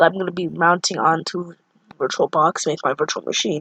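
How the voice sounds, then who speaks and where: A woman is speaking. Her voice carries vocal fry. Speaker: tech tutorial youtuber. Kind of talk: tutorial. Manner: halting, stumbling over words.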